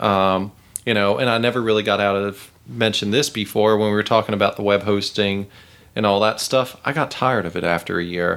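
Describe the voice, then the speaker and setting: With an American accent, a man in an unremarkable speaking voice talks at a fairly quick pace, his fairly low pitch kept to fairly even intonation. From Charlotte area, North Carolina. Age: 30s. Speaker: venture capitalist, startup mentor. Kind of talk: interview conversation. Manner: casual.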